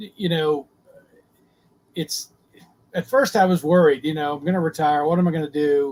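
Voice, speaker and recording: Here a man talks at a moderate pace with an American accent. The sound is dry and close, with no echo. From US South. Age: 60s. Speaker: retired sailor. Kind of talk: podcast interview. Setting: live video podcast.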